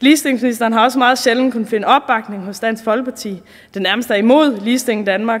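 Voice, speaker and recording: Speaking at a very fast pace, a woman with a fairly high pitch keeps her intonation fairly even. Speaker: politician, party spokesperson. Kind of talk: parliamentary speech.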